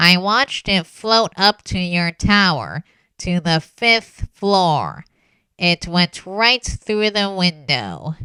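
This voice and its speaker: A woman puts on a character voice at a medium pitch. She speaks very slowly, with ordinary pitch variation. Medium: audio drama. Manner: blunt, guarded.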